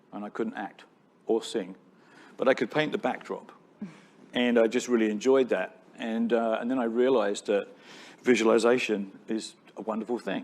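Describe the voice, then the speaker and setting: Using a British accent, a man speaks at medium pitch and a moderate pace in a monotone, flat way with long, frequent pauses. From Britain. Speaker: tech company founder. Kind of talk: onstage interview. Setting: stage with audience.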